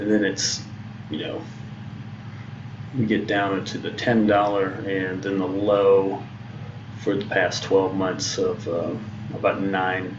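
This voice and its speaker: A man speaks with a fairly low pitch at a fairly slow pace, his intonation monotone and flat. Noticeable background noise and audible room echo fill the recording. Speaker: day trader streaming live trades. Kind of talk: live trading commentary. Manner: halting, many fillers.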